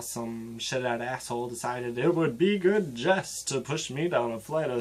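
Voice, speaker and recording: A man speaks at a fairly slow pace with ordinary pitch variation. He has a plain, everyday voice. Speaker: spoken word poet. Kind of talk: spoken word poetry performance.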